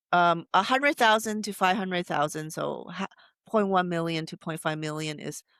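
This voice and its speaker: A woman speaks at a moderate pace with a Taiwanese accent and a medium pitch. The recording is very clean with a silent background, and the sound is dry and close with no echo. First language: Taiwanese Hokkien. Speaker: AI researcher. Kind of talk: interview. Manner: halting.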